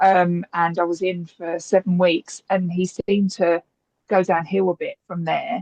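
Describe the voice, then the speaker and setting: With an English accent, a woman speaks at a fairly slow pace in a medium pitch and monotone, flat intonation, the sound dry and close with no echo. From England. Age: 50s. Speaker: parent asking a question. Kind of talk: webinar Q&A. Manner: halting.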